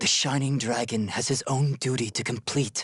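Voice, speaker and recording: At a moderate pace, a man puts on a character voice at medium pitch. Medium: video game. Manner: calm, grave.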